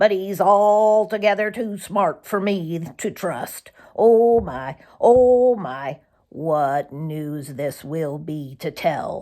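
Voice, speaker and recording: A woman's put-on character voice, rumbling and medium-pitched, with lively intonation and a very slow pace, on a very clean recording with a silent background. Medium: read story. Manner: grumbling, gossipy.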